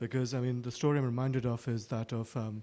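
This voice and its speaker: A man speaks at a medium pitch with a dark, mellow tone. His pace is fairly quick and his intonation fairly even. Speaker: audience member asking a question. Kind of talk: audience question. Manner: soft-spoken.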